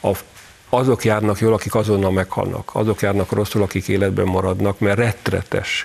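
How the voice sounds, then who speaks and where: Fairly low male voice, monotone and flat, at a moderate pace amid noticeable background noise. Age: old. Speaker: newspaper editor. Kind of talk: panel discussion.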